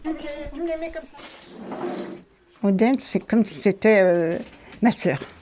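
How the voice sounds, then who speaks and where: Over noticeable background noise, a woman speaks fairly slowly at a fairly high pitch, her pitch swinging very widely and her loudness shifting a lot, with long, frequent pauses. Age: 70s. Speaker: volunteer cook. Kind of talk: testimony. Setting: kitchen.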